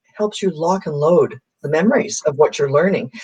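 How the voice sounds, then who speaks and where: Somewhat breathy with a dark, mellow tone, a woman at medium pitch speaks at a fairly quick pace with lively intonation. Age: 60s. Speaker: transformational coach. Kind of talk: casual interview.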